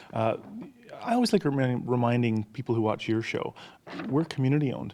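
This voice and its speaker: A man with a medium-pitched voice talks fairly quickly, his pitch varying in an ordinary way, against noticeable background noise. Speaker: theatre executive director. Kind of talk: casual interview chat. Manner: fast.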